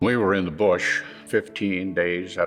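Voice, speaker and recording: A man with an Upper Midwest accent speaks over music in the background. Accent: Upper Midwest American. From South Dakota. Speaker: Vietnam War veteran. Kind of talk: interview answer.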